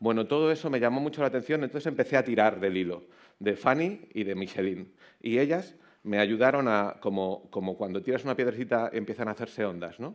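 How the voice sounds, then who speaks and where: Against a quiet background, a man with a medium pitch talks at a fairly quick pace using lively intonation. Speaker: author and keynote speaker. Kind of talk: conference talk. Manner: fast.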